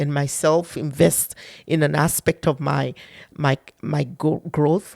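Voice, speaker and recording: The recording is very clean, with a silent background and a dry, close sound that has no echo. The voice carries vocal fry. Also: woman. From Nigeria. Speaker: public sector diversity director and author. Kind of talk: interview conversation.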